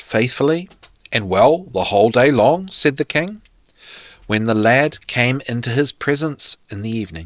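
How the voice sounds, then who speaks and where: In a New Zealand accent, a man speaks at a very slow pace in a dry, close sound with no echo and a very clean recording with a silent background. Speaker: podcast host. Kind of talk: reading aloud.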